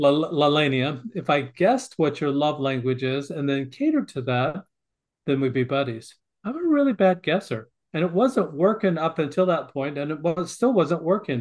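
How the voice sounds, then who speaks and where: A man with a Western US accent, fairly high in pitch, with lively intonation at a moderate pace. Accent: American, western US. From Montana. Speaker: author and family educator. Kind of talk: interview.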